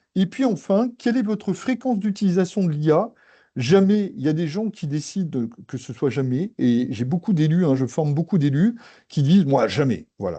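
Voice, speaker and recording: A man speaks in a dark, mellow tone with very wide pitch swings. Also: quiet background. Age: 60s. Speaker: AI consultant and trainer. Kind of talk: webinar presentation. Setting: online webinar.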